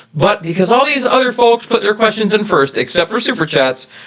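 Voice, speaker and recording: Against noticeable background noise, a man talks at a fairly quick pace, his pitch swinging very widely. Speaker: YouTube family channel co-host. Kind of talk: live stream Q&A chat. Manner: loud. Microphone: reverb echo on his mic.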